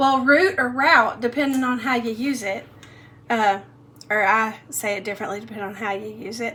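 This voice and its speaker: A woman speaks with a Southern US accent at a moderate pace. Her pitch is fairly high, with ordinary variation. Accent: Southern US, mild. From Middle Tennessee. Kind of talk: casual talk to camera.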